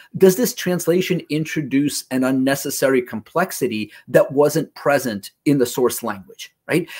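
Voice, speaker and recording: A man with a fairly high pitch and lively intonation speaks at a moderate pace with hardly any pauses. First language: Russian. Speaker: localization industry presenter, former translator. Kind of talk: conference presentation. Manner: conversational, frequent 'right?' fillers.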